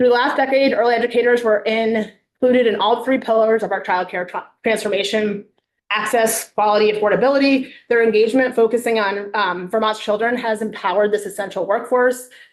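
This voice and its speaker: A woman talks fairly quickly at a fairly high pitch, her intonation fairly even. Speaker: legislative witness. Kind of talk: committee testimony. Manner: fast; clear.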